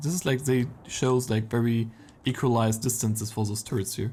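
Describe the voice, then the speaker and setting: The tone is dark and mellow. It is a man's voice, somewhat breathy. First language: not English. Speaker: esports caster. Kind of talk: live commentary. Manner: casual, halting.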